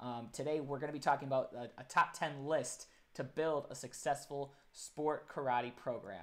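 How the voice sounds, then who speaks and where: Talking at a moderate pace with hardly any pauses, this man has a fairly high pitch and ordinary pitch variation. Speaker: live stream host. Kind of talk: casual live stream interview. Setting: live stream. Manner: loud.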